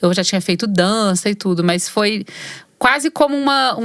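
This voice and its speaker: A woman's normal speaking voice at medium pitch, with ordinary pitch variation and a moderate pace. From Brazil, Belo Horizonte (Minas Gerais). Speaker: singer-songwriter and actress. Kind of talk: interview conversation. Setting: recording studio.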